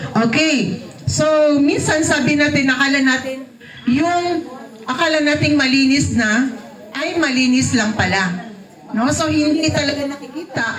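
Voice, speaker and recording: Her tone animated and her loudness very even, a woman speaks at a high pitch with ordinary pitch variation while room echo is audible. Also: fairly slow pace. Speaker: product demonstrator. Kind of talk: sales pitch. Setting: live audience without microphone. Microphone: no microphone.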